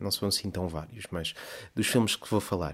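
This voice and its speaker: Heard in a very clean recording with a silent background, a man with a European Portuguese accent speaks with ordinary pitch variation. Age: 30s. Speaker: podcast host. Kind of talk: casual monologue. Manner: rambling, filler-heavy.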